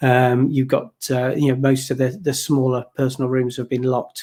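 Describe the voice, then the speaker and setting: A man's voice sits at a medium pitch, with a dark, mellow tone and monotone, flat intonation. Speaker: podcast co-host on workplace technology. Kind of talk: casual panel discussion. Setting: home office call. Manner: loud.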